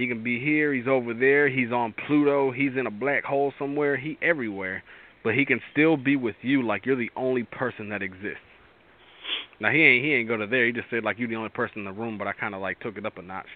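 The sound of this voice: Animated and fast, a man talks at a medium pitch. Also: ordinary pitch variation.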